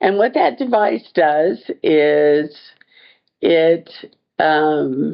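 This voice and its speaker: A woman talks with a very deep, low pitch and lively intonation. Her pace is very slow, with long, frequent pauses. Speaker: user of an assistive device. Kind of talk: testimony.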